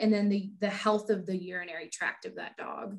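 The pace is moderate. The voice is somewhat breathy. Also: woman. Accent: American. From Texas, Houston. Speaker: veterinarian. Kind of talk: interview.

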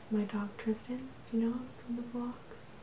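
A soft-spoken woman whispering at a fairly slow pace, with noticeable background noise. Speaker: vlogger. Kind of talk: casual ASMR show-and-tell. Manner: soft whispered ASMR talk. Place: home room.

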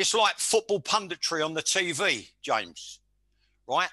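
A man speaks at a fairly slow pace in a bright, sharp tone. The sound is dry with no echo, over a quiet background. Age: 60s. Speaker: former football manager; interviewee, podcaster. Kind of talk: casual interview. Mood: opinionated, forceful. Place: home room. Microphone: headset.

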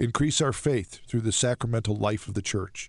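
A man's voice with ordinary pitch variation and a dry sound with no echo. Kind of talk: casual radio interview. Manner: animated, laughs often. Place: studio. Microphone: studio mic.

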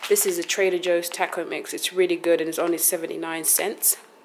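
A woman speaks over noticeable background noise. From London, England. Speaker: vlogger. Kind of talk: casual vlog talk to camera. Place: home room. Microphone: phone near.

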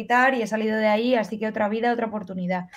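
A woman's fairly high-pitched voice. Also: quiet background. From Spain. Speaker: fencer; interviewee. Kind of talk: casual interview. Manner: animated. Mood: lively, animated. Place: home room. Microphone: earbuds.

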